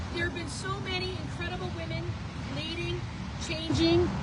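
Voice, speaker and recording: A woman speaks loudly with an American accent at a moderate pace. Noticeable background noise and audible room echo surround her voice. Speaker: political candidate and business owner. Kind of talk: rally speech.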